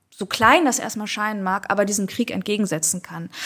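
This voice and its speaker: In an unremarkable speaking voice, a woman with a fairly high pitch talks at a moderate pace on a very clean recording with a silent background. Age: 40s. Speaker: writer. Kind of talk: interview conversation.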